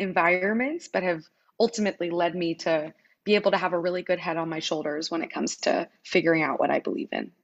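Talking at a very fast pace, a woman keeps a medium pitch with ordinary pitch variation. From US Midwest, Wichita, Kansas. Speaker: founder of a youth debate platform. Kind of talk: interview.

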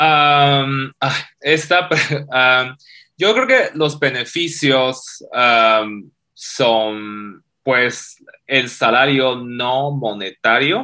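This man speaks at a very slow pace in a bright, sharp tone with ordinary pitch variation. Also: medium pitch for a man. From China. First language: Chinese (speaking Spanish). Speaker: fintech CEO. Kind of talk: interview.

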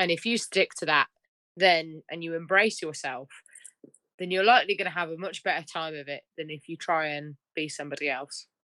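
A woman with a British accent, fairly low pitch and a bright, sharp tone, at a fairly quick pace with ordinary pitch variation, big swings in loudness and a dry, close sound with no echo. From United Kingdom. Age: 20s. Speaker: country singer-songwriter. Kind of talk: casual interview.

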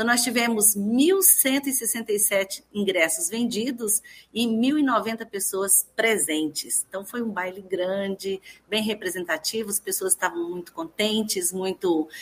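At a very slow pace, a woman speaks in a somewhat breathy, fairly high voice with ordinary pitch variation. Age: 50s. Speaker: university rector. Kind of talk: radio interview. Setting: speaking remotely from her home living room.

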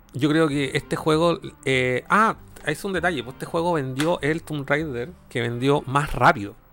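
Fairly slow speech in a Chilean accent with ordinary pitch variation. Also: man, fairly high pitch for a man. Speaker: video game podcast host. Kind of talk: casual chat.

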